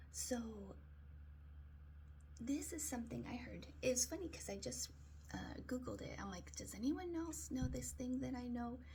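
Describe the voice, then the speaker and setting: Soft-spoken and fairly slow, a woman speaks with long, frequent pauses amid audible room echo and noticeable background noise. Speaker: daily video blogger. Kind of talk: casual monologue. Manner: hesitant, many fillers.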